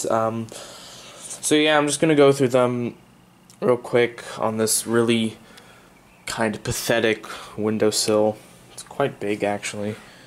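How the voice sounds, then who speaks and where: Amid noticeable background noise, a man speaks at medium pitch with fairly even intonation and big swings in loudness. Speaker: hobby plant grower. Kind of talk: casual vlog talk to camera. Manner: hesitant, many filler sounds.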